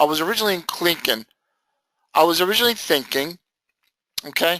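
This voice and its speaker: A man speaks loudly and very fast with a high pitch, an animated, bright and sharp tone, and lively intonation. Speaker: trading educator. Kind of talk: lecture.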